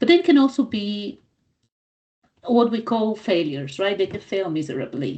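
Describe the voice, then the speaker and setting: A woman speaks with a non-native accent. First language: not English. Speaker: business coach. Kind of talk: training talk. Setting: recorded live for club members.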